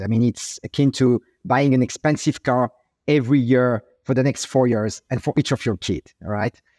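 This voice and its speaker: A man with a French accent speaks at a medium pitch and a moderate pace. The recording is very clean, with a silent background and a dry, close sound with no echo. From France, Paris. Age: 40s. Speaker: tech entrepreneur. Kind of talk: interview. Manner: halting, many fillers.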